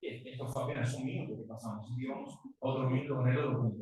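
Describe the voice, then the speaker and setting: Audible room echo surrounds a man with a fairly high pitch who speaks with a Uruguayan accent. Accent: Uruguayan Rioplatense Spanish, unmodified. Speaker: guest preacher. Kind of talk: sermon. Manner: animated.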